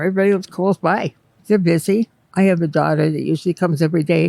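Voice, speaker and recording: The speaker talks at a very fast pace with ordinary pitch variation and an American accent. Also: woman. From western Pennsylvania. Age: 70s. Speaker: retired housekeeper. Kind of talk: casual interview chat. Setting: assisted living facility during manicure.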